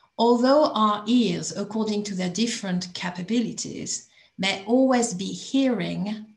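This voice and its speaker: The voice is somewhat breathy and moves at a fairly slow pace. Its pitch varies in an ordinary way. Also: woman. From France. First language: French. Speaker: coalition member speaking at group chat. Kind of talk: prepared talk. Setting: video call.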